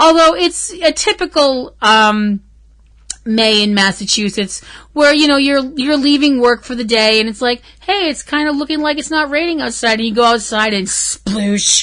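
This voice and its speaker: Over a quiet background, a woman talks at a moderate pace in a high pitch with lively intonation. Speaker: podcast host. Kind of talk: casual chat.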